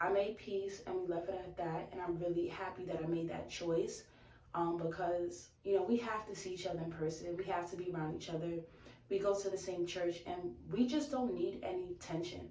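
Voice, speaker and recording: Using an American accent, a woman speaks at a moderate pace amid audible room echo and noticeable background noise. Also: fairly low pitch for a woman, ordinary pitch variation. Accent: Bronx accent, heavier when upset. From New York, the Bronx. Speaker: YouTube vlogger. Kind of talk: casual chat. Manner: animated.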